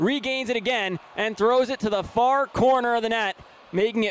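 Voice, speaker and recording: A man speaks at a moderate pace while noticeable background noise fills the recording. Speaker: hockey play-by-play announcer. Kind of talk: live sports commentary.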